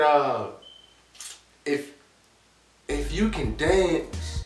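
Audible room echo around a man's voice. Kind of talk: comedic character monologue.

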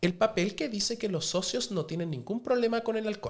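Very wide pitch swings from a man with a Chilean accent, over a quiet background. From Chile, Viña del Mar. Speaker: restaurant owner and TV cook; podcast guest. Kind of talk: casual chat. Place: studio. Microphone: studio mic.

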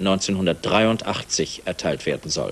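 Here a man is talking at a moderate pace. His pitch varies in an ordinary way. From Germany. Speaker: TV news anchor. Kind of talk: TV news reading. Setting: studio, 1981 TV broadcast. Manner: formal, measured. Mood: calm, formal, neutral. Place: studio.

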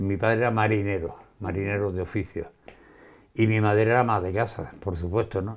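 An ordinary speaking voice: a man at a fairly quick pace, with fairly low pitch and fairly even intonation. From Andalusia, Spain. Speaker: shopkeeper and writer. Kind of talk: interview. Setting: his home wine cellar. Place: office. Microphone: lapel.

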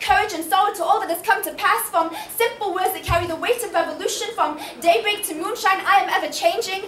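Noticeable noise can be heard in the background. A woman talks at a fairly quick clip. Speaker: spoken word poet. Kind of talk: spoken word poetry performance. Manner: powerful, impassioned.

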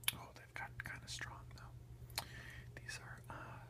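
The talking goes at a fairly slow pace over loud background noise. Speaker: ASMR creator, home gardener. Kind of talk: casual talk to camera, whisper eating ASMR. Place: home room. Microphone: phone near.

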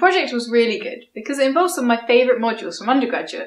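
Audible room echo follows a woman's high-pitched voice against a quiet background. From southeast England, Kent. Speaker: scientist and science video creator; science video creator. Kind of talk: vlog monologue. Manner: casual, upbeat. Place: home room.

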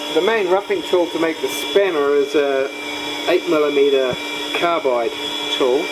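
The speech moves at a moderate pace beneath loud background noise. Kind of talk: tutorial. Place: workshop. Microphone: phone near.

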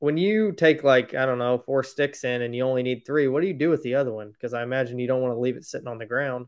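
The speech races along at a very fast pace with hardly any pauses. Pitch varies in an ordinary way over a quiet background. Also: man. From Indiana, US. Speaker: podcast host. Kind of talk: interview. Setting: video call. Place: home room. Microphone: webcam.

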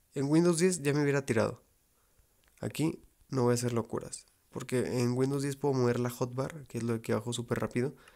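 Quietly and at a fairly quick pace, a man with a medium pitch and dark, mellow tone keeps his intonation fairly even. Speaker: gaming youtuber. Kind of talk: gameplay commentary.

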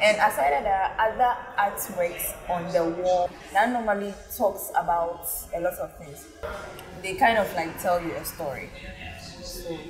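A woman speaks with ordinary pitch variation and big swings in loudness, leaving long, frequent pauses. Faint music plays in the background. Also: moderate pace. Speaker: food vlogger. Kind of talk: casual vlog review. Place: bar. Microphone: lapel.

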